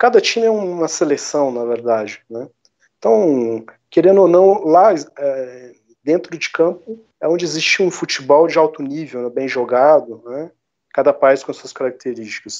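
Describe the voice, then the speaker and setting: A man at a moderate pace and fairly high pitch, with lively intonation and long, frequent pauses. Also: big swings in loudness. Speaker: history teacher and game developer. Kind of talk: interview conversation.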